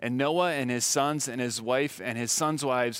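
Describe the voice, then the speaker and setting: A man with an ordinary speaking voice talks at a moderate pace, using a medium pitch and ordinary pitch variation. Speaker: preacher. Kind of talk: sermon with scripture reading. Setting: church. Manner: clear, formal expository delivery.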